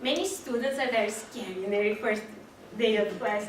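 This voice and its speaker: Noticeable background noise accompanies a woman with a fairly high pitch, speaking at a moderate pace with ordinary pitch variation. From Brazil. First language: Portuguese. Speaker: community college student. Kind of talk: personal story speech to audience.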